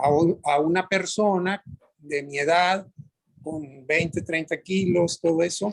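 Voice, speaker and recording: Here a man talks at a very slow pace in a high voice. His intonation is fairly even. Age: 60s. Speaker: workshop participant. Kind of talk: group discussion. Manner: halting.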